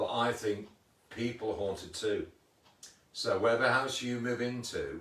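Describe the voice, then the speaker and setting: With long, frequent pauses and fairly even intonation, a man talks at a medium pitch and moderate pace amid audible room echo. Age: 60s. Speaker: paranormal investigator. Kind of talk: casual chat. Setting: livestream video. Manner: repetitive, halting.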